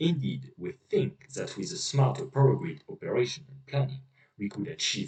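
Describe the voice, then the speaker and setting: Speaking at a moderate pace, a man uses a medium pitch with very wide pitch swings. Vocal fry runs through his voice. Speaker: researcher. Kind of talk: scientific poster presentation. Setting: poor recording quality.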